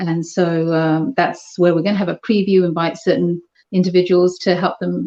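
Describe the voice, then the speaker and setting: Speaking at a moderate pace with a British accent, a woman has a dark, mellow tone and ordinary pitch variation. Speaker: charity housing organizer. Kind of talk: interview.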